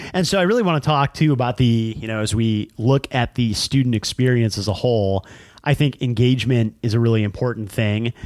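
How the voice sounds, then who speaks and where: This is a plain, everyday voice from a man, medium in pitch with ordinary pitch variation. He talks at a fairly quick pace on a very clean recording with a silent background. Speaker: podcast host. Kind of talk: casual banter with topical discussion.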